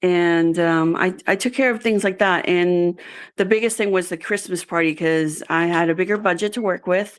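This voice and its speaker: A woman with a medium pitch speaks at a moderate pace with fairly even intonation and very even loudness. The recording is very clean, with a silent background. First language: Spanish. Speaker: job candidate, executive assistant. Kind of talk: interview. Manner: halting, many fillers.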